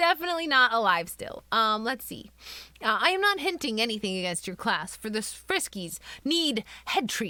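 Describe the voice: Here we have plain reading aloud.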